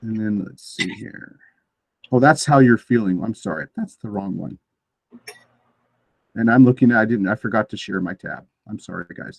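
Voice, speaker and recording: Soft-spoken and medium-pitched, a man talks at a moderate pace with ordinary pitch variation, long, frequent pauses and big swings in loudness, in a dry, close recording with no echo. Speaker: teacher trainer. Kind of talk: online training session. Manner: halting.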